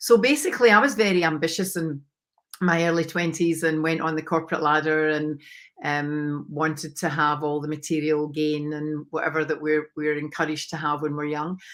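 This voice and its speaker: In a very clean recording with a silent background, a woman with a Scottish accent speaks fairly quickly at a very deep, low pitch, keeping her intonation fairly even. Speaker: mindset coach. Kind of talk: interview.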